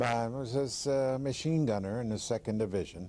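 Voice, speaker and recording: A man speaks at a moderate pace in an American accent. His pitch is fairly low and his tone is dark and mellow. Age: 70s. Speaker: war veteran. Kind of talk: testimony.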